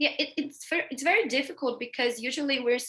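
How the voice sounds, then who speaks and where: Her tone bright and sharp, a woman speaks with a Brazilian accent. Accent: Brazilian accent in English, noticeable. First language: Portuguese. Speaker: veterinary pathology researcher. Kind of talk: interview in a webinar. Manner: halting, many fillers.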